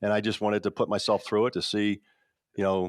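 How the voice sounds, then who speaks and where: A man with a fairly low voice talks at a fairly quick clip. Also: very clean recording, silent background. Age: 60s. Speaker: strength and conditioning coach. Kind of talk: podcast interview. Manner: halting.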